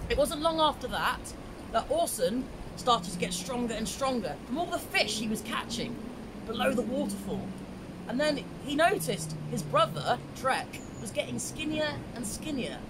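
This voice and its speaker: With very wide pitch swings and an extremely high pitch, a man speaks at a moderate pace against noticeable background noise. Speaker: storyteller. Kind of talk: storytelling. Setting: outdoors in a river. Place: waterside. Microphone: camera far.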